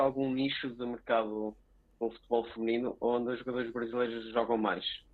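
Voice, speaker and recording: The man speaks in a European Portuguese accent at a medium pitch. His intonation is monotone and flat. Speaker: podcast co-host. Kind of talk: interview.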